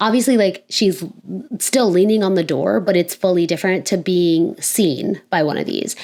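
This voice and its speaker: A woman with an American accent and an unremarkable speaking voice, at a moderate pace with ordinary pitch variation. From Florida, USA. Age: 20s. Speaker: filmmaker and writer. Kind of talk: casual talk to camera. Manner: casual, thinking aloud.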